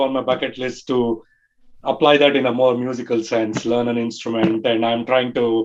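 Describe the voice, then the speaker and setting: The speech comes at a moderate pace. It carries a Tamil accent. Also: man. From India, Bangalore. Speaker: early fan group leader. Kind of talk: podcast interview.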